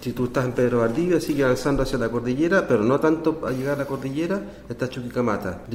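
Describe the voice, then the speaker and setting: A man with a Spanish accent at a very fast pace and medium pitch, ordinary pitch variation, hardly any pauses, and noticeable background noise. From northern Chile, Atacama region. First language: Spanish (speaking Portuguese). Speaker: astrobiology researcher. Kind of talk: interview. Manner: halting, mixing Spanish and Portuguese.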